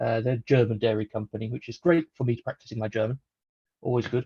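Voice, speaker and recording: A man with a British accent, somewhat breathy and dark, mellow in tone, fairly quick with fairly even intonation. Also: dry, close sound with no echo. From UK. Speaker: software developer, conference speaker. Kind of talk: technical talk.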